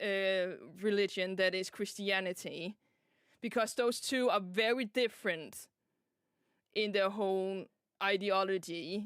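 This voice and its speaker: With a Danish accent, a woman talks at a fairly slow pace with long, frequent pauses, very even loudness and fairly even intonation. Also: medium pitch for a woman. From Denmark. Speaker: vtuber streamer. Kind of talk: casual chat.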